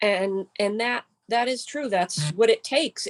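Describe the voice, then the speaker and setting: A woman's normal speaking voice at medium pitch and a fairly slow pace, with a dry, close sound with no echo. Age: 60s. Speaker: yoga and wellness teacher. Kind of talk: casual chat.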